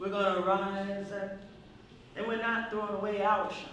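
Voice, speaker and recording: A woman speaks with an American accent against noticeable background noise. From Tulsa, Oklahoma. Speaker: poet, spoken word artist. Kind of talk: spoken word poetry performance.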